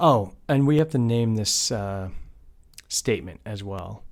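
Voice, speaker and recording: In a very clean recording with a silent background, a man has a normal speaking voice, a medium pitch and lively intonation. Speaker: cloud computing instructor. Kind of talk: screen-recorded tutorial. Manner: casual, conversational.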